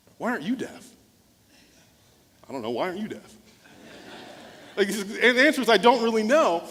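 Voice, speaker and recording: A man with a high pitch talks at a fairly quick pace with lively intonation, big swings in loudness and long, frequent pauses, over noticeable background noise. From US small town, Nigerian immigrant parents. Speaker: motivational speaker and former pastor. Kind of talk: keynote speech with storytelling.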